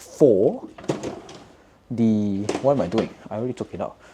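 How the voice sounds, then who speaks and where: A quiet man with ordinary pitch variation, plus noticeable background noise. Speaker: vlogger and embroidery business owner. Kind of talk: casual chat while crafting, tutorial-like. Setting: apartment at night, housemate nearby. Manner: speaking quietly; halting, self-correcting.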